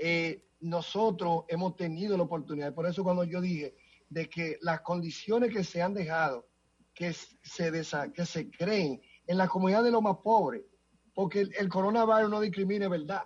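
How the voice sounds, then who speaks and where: A man's moderately paced speech, high in pitch and with ordinary pitch variation. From Dominican Republic. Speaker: city council member. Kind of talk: interview.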